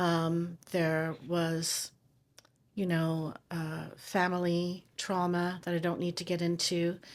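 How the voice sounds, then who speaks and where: A woman speaks very slowly, in a monotone, flat intonation. The recording is very clean, with a silent background. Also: fairly low pitch for a woman. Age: 60s. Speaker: TV producer and chronic pain patient. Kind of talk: interview testimony.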